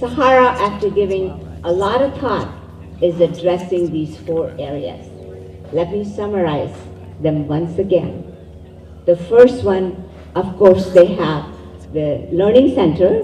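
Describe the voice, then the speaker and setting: Speaking fairly slowly, a woman with fairly low pitch leaves long, frequent pauses. Noticeable background noise and audible room echo are present. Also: lively intonation. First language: Urdu. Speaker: event emcee. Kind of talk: event speech. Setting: community event with live audience.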